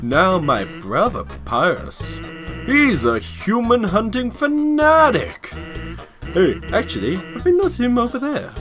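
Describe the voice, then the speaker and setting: A man speaks in a put-on character voice at a fairly slow pace. Clear music plays in the background. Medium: game stream. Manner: laid-back, casual.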